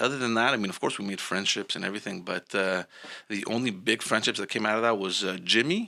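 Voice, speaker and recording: A man speaks very fast in a Montreal accent. His tone is bright and sharp, his pitch fairly low, with ordinary pitch variation. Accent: Montreal Canadian English. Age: 30s. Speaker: podcast host. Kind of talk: casual chat.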